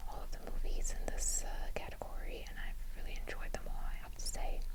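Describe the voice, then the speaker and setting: Someone whispers in a soft-spoken, gentle tone over noticeable background noise. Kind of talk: gentle whispered ASMR talk to camera. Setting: close-mic'd home recording. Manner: whispered, gentle, soft-spoken.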